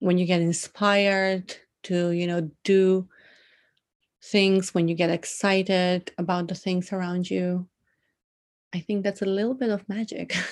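In a very clean recording with a silent background, a woman with a Macedonian accent speaks at medium pitch and a fairly slow pace, in a monotone, flat intonation, with long pauses that come often. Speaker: poet and journalist. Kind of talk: casual interview.

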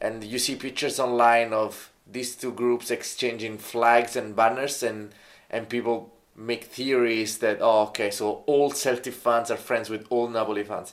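Moderate pace and flat, monotone intonation in an Italian accent. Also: man, medium pitch for a man. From Italy. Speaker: football fan co-host. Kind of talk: casual chat. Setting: pub.

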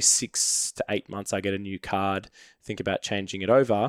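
In an Australian accent, a man with a fairly low pitch speaks at a moderate pace, recorded very cleanly with a silent background and a dry, close sound with no echo. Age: 20s. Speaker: product manager, points collector. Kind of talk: casual chat. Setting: studio.

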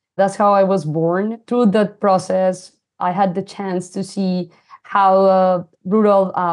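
A woman speaks very slowly at medium pitch in a monotone, flat intonation. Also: quiet background. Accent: Colombian. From Colombia, coffee region. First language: Spanish. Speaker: fintech founder and CEO. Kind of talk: interview conversation. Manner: hesitant, frequent fillers.

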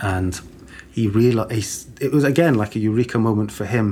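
Fairly low in pitch and somewhat breathy, a man speaks at a moderate pace. His pitch varies in an ordinary way. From born in Sweden, raised in Britain. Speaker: museum curatorial assistant. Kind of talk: casual interview.

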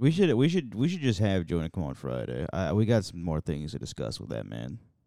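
Talking at a fairly quick pace with hardly any pauses, a man with an American accent uses very deep, low pitch, a dark, mellow tone, vocal fry, very wide pitch swings and big swings in loudness. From US Midwest, a city. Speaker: podcast co-host. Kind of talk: casual chat.

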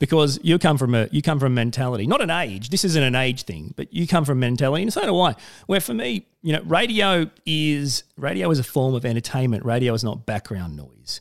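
Speaking with an Australian accent, a man moves at a fairly quick pace with lively intonation and hardly any pauses. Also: medium pitch for a man. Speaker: podcast host and radio presenter. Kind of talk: interview conversation.

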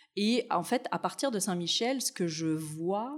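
An unremarkable speaking voice, fairly slow, with lively intonation. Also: woman. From Tunisia, then France. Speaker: city anti-racism commissioner, researcher. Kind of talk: interview.

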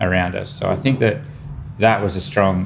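The speaker has an Australian accent and talks at a fairly quick pace. Noticeable background noise and audible room echo fill the recording. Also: man. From Australia, New South Wales country town. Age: 30s. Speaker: chef and restaurateur. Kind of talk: casual chat. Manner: animated.

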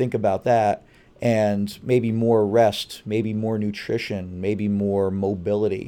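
A man speaks at a very slow pace in a fairly low voice with a dark, mellow tone and flat, monotone intonation, on a very clean recording with a silent background. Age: 50s. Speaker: high school strength and conditioning coach. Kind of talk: interview. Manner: articulate.

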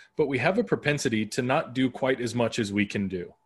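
Over a quiet background, a man speaks at a moderate pace with a medium pitch. His voice is somewhat breathy. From Arizona, US (west Phoenix). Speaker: podcaster and brand consultant. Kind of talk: casual interview chat.

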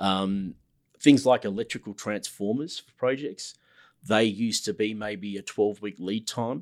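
With an Australian accent, a man speaks at a fairly slow pace in a fairly low pitch. His loudness swings widely while pitch variation stays ordinary, on a very clean recording with a silent background. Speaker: construction manager. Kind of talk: casual interview chat.

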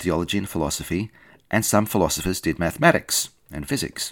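With an Australian accent, a man talks at a fairly quick pace on a very clean recording with a silent background. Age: 50s. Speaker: podcast host, scientist and theology student. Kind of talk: scripted narration.

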